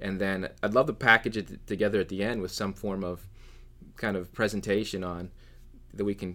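Heard on a very clean recording with a silent background, a speaker with an American accent talks at a fairly quick pace. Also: man. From Pennsylvania. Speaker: marketing professional. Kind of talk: casual chat. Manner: halting.

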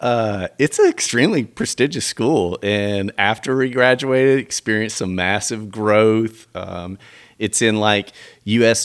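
A man talks in a plain, everyday voice with an American accent, fairly low and fairly slow. His intonation stays fairly even, and the sound is dry and close with no echo. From US South, Tennessee (Millington, near Memphis). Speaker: pastor. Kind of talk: casual chat.

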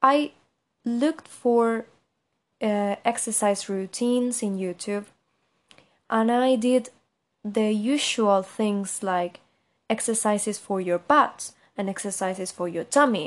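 A woman with a Spanish accent speaks at a very slow pace and medium pitch, with ordinary pitch variation. Long, frequent pauses break her speech against a quiet background. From Argentina, Buenos Aires. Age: 20s. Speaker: podcaster. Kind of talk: casual monologue.

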